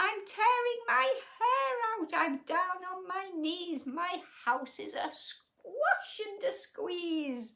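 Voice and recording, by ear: Putting on a character voice, a woman speaks slowly with few pauses, her extremely high pitch carrying a bright, sharp tone, vocal fry and lively intonation.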